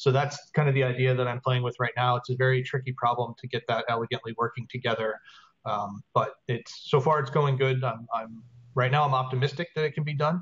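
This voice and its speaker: At a fairly quick pace, a man talks at a medium pitch with fairly even intonation. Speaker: software developer. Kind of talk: team meeting report. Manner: fast.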